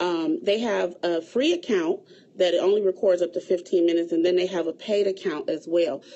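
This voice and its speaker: A woman with a plain, everyday voice speaks at medium pitch. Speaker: event planner. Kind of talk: livestream tutorial.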